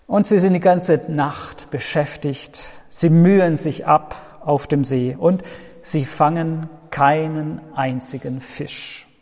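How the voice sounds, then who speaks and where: A man speaking at a very slow pace, ordinary pitch variation, noticeable background noise. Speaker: pastor. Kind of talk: sermon, a warm pastoral address to the congregation, with an earnest, reflective tone. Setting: church. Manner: measured and earnest, with a sincere, comforting delivery.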